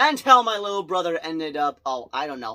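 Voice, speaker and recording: Over a silent background in a very clean recording, a man speaks in a bright, sharp tone with very wide pitch swings. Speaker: movie reviewer. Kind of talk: casual vlog review. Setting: home bedroom. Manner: fast; loud.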